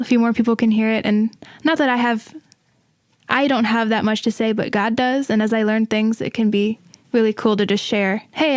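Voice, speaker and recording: A woman with an ordinary speaking voice talks at a fairly quick pace and fairly high pitch with fairly even intonation, in dry, close sound with no echo on a very clean recording with a silent background. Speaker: singer-songwriter. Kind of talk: casual chat.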